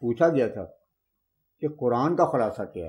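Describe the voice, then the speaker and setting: A man with a dark, mellow tone. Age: 70s. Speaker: religious historian. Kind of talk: interview. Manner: formal.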